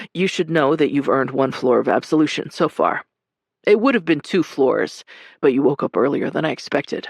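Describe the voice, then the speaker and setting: A man's raspy, put-on character voice, fairly high-pitched and fairly quick, in a dry, close sound with no echo. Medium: read story. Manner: gentle, dry.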